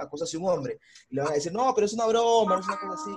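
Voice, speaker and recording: Over noticeable background noise, the man rushes along at a very fast pace. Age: 20s. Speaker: podcast co-host. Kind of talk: casual chat.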